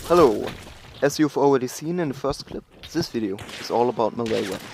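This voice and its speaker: Recorded dry and close with no echo, a man with a German accent speaks in a fairly high voice with ordinary pitch variation. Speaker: gaming guide creator. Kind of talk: game tutorial voice-over.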